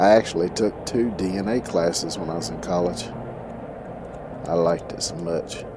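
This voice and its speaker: Over noticeable background noise, a man with an American accent talks in a relaxed tone at a very deep, low pitch, with ordinary pitch variation, a moderate pace and long, frequent pauses. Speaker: streamer. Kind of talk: casual gaming live stream.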